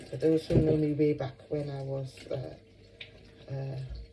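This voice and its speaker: A woman with a very deep, low pitch and monotone, flat intonation, with noticeable background noise. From Nigeria. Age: 60s. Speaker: YouTuber. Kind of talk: casual vlog chat. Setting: home kitchen.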